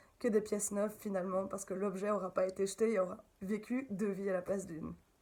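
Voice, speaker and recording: A woman with a slight Belgian accent speaks at a moderate pace. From Belgium. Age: 30s. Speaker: upcycling craft maker. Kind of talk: interview. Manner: animated.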